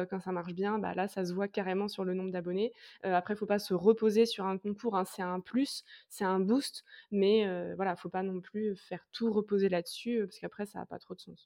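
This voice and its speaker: Over a quiet background, a woman speaks in a flat, monotone way at a medium pitch. Her tone is dark and mellow, with a dry, close sound and no echo. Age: 20s. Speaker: content creator. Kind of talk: interview. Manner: casual, hesitant with many fillers.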